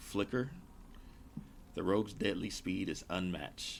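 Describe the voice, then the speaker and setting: The man's pitch varies in an ordinary way as he talks. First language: not English. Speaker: gaming streamer. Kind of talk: live gameplay stream commentary. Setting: live stream.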